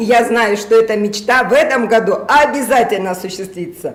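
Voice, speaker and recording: Amid noticeable background noise and audible room echo, a woman with a fairly high pitch sounds animated, her intonation lively. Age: 60s. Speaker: network marketing distributor. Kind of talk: testimony. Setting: live stream.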